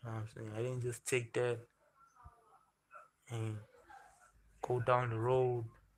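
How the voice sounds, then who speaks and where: The voice is somewhat breathy, with a monotone, flat intonation. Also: man. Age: 20s. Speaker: livestreamer. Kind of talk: casual chat. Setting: livestream.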